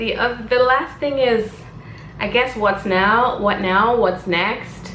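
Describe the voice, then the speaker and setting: Amid noticeable background noise and audible room echo, a woman speaks very slowly in a fairly high pitch. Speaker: vlogger. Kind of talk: casual vlog monologue. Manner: rambling, hesitant fillers.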